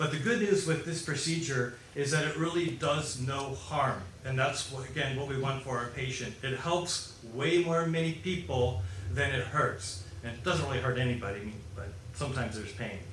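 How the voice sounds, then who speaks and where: A man with an American accent talks at a medium pitch and a moderate pace, with lively intonation. Noticeable background noise and audible room echo surround his voice. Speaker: foot surgeon and implant inventor. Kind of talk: medical lecture. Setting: conference presentation in Chile. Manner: animated.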